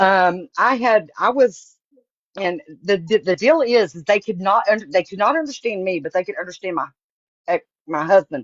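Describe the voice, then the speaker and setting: Speaking in a Southern accent at a medium pitch and moderate pace, a woman uses lively intonation with big swings in loudness. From Texas. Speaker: astrologer. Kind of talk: casual chat.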